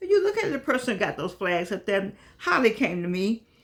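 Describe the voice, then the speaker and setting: A woman with an American accent speaks at a moderate pace and a fairly high pitch. Her tone is animated, and background noise is noticeable. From US Midwest (Gary, Indiana). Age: 80s+. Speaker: online talk show host. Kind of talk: casual monologue to viewers.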